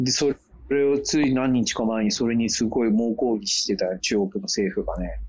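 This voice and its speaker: Noticeable background noise sits behind a man speaking. His medium-pitched voice keeps a moderate pace with ordinary pitch variation. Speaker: co-host living abroad. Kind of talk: casual chat. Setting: video call.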